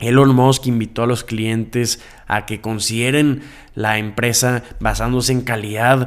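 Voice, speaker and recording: Monotone and flat, a man at a medium pitch talks at a fairly slow pace. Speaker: podcast host. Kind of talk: news commentary.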